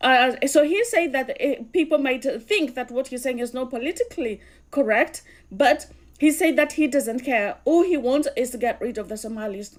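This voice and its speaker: Speech comes at a moderate pace, with ordinary pitch variation. The voice has a Kenyan accent. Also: woman, high pitch for a woman. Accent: Kikuyu. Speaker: political commentator. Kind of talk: video commentary.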